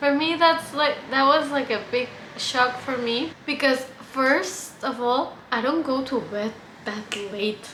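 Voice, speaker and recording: With a Mexican accent, a woman talks at a very slow pace and a high pitch, her pitch varying in an ordinary way, over noticeable background noise and audible room echo. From Mexico. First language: Spanish. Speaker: vlogger. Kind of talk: casual vlog. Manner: hesitant, many fillers.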